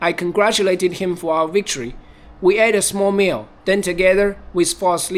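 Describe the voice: The voice gives a plain reading aloud with fairly even intonation.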